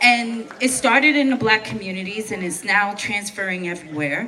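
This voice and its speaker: Over noticeable background noise, a woman talks at a moderate pace with fairly high pitch and lively intonation. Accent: New York. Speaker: protest speaker, veteran. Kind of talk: protest speech. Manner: impassioned.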